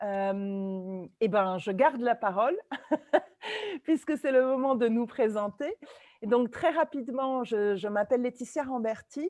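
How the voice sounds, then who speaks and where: Recorded dry and close with no echo, a woman talks at a fairly slow pace with lively intonation. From Italy and France. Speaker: trainer and facilitator, webinar co-host. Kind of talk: webinar presentation. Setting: video call webinar.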